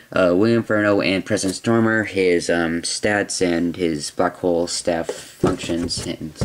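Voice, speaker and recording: A man with a very deep, low pitch talks at a fairly slow pace with hardly any pauses. His intonation stays fairly even over noticeable background noise. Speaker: toy reviewer. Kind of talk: product review. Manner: hesitant, many fillers.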